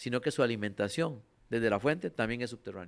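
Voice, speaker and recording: This is a man's voice on a very clean recording with a silent background. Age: 60s. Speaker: utility company general manager. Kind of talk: radio interview.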